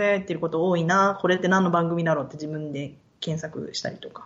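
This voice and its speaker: Noticeable background noise surrounds the recording. A woman talks at a very fast pace. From Japan, Yokohama; moved often, high school in Osaka. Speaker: podcast guest, researcher/interviewer. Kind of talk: casual interview chat.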